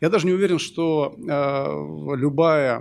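A fairly high-pitched man talks, his pitch varying in an ordinary way. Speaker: surgeon, panel discussant; panel discussant. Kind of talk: panel discussion. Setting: stage with audience. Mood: thoughtful, arguing a personal view. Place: hall. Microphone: podium.

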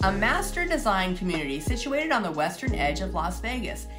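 A woman talks at a moderate pace while clear music sounds in the background. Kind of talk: scripted presentation. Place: home room.

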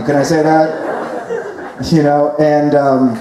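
Noticeable background noise surrounds a man speaking. His voice carries audible room echo. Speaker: stand-up storyteller. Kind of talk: comedic monologue. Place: tent.

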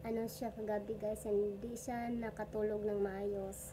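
A woman speaks very slowly in a fairly high, monotone, flat voice, with audible room echo and noticeable background noise. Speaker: vlogger, stay-at-home mother. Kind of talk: casual vlog monologue. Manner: halting, many fillers.

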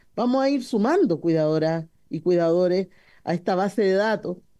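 Against a quiet background, a woman with a fairly low voice and a dark, mellow tone speaks with lively intonation. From Chile. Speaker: parliamentarian. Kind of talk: parliamentary debate. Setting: parliamentary committee room. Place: meeting room. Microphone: podium.

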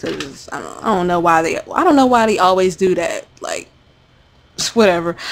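In an ordinary speaking voice, a woman talks at a moderate pace with a fairly low pitch. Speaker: gamer. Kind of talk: casual talk to camera.

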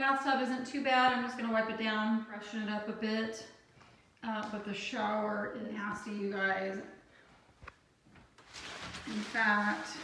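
A woman speaks at a very slow pace with fairly even intonation. The recording carries audible room echo and noticeable background noise. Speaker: home cleaning vlogger. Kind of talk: casual vlog chat. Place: bathroom. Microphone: phone near.

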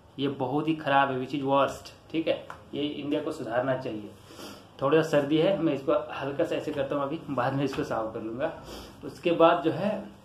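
With audible room echo, a man talks at a moderate pace in a fairly high pitch, his intonation fairly even. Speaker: YouTuber explaining current affairs. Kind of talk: explainer talk. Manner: informal, repetitive with frequent fillers.

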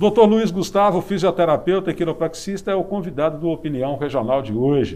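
A man speaks at a high pitch. He barely pauses at all. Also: ordinary pitch variation, fairly quick pace. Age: 50s. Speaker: TV interviewer. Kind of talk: interview. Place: studio. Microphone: lapel.

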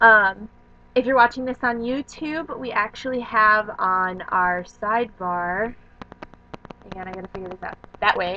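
Her loudness swings widely from moment to moment. The woman keeps a moderate pace with ordinary pitch variation. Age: 20s. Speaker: vlogger. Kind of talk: casual vlog monologue. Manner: animated. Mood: cheerful, enthusiastic. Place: home room. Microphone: webcam.

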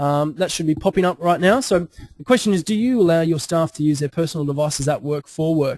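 A man with an Australian accent and a fairly high pitch talks at a very fast pace with ordinary pitch variation. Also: dry, close sound with no echo. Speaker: webinar presenter, digital consultant. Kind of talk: webinar presentation. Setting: online webinar. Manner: halting, many fillers and repetitions.

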